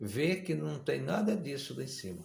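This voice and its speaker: A man speaks at medium pitch with vocal fry. Room echo is audible. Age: 60s. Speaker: preacher. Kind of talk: sermon.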